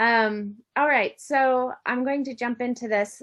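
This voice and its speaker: A woman with an American accent speaks at a fairly slow pace and fairly even intonation against a quiet background. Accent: American, noticeable in New Zealand. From United States. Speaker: university lecturer. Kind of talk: academic conference presentation. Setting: online event. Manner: hesitant, with many fillers.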